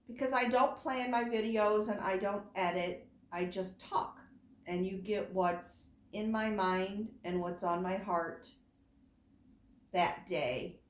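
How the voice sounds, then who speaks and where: A very slow pace, long and frequent pauses, ordinary pitch variation and audible room echo. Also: woman, medium pitch for a woman. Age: 50s. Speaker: doll collector vlogger. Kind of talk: casual chat. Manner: rambling, unscripted.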